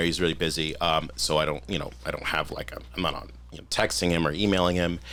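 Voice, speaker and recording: A man talks at a very fast pace with hardly any pauses. His very deep, low voice carries vocal fry. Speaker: firefighter. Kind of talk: casual chat. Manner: halting.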